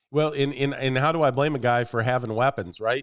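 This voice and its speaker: With an ordinary speaking voice, a man talks fairly quickly at a medium pitch. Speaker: sports podcast host. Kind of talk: casual chat. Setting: studio.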